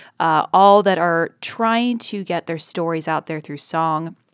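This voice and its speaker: A woman with an American accent and an ordinary speaking voice, fairly slow, with ordinary pitch variation, in a very clean, dry, close recording with no echo and a silent background. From West Virginia. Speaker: public radio podcast host and producer. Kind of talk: casual chat.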